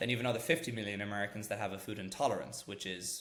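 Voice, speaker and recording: A man's fairly low voice in an Irish accent, very fast, with fairly even intonation. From Ireland. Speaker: startup founder, former corporate lawyer. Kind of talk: podcast interview.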